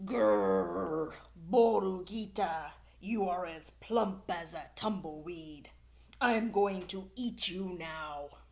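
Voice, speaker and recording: A female-sounding put-on character voice growls at a medium pitch. The pace is very slow. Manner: growling, menacing.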